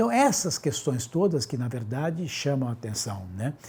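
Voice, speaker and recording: The voice is somewhat breathy with a dark, mellow tone, moving at a fairly quick pace through very wide pitch swings. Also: man. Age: 60s. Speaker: doctor. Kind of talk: interview.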